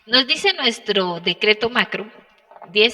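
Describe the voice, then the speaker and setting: A woman's voice with a dry, close sound and no echo. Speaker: occupational safety instructor. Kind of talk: online class lecture. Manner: fast.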